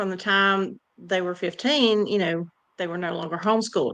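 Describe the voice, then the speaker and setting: This woman has a Southern US accent and a medium pitch. Her tone is bright and sharp, and her intonation stays fairly even. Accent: southern drawl. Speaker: podcast guest. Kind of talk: casual chat.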